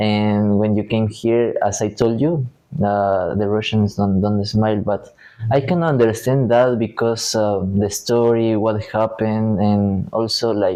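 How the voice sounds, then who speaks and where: With a Spanish accent, a man speaks fairly slowly in a fairly low pitch and fairly even intonation. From Ecuador. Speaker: university student. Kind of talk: interview. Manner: hesitant, many fillers.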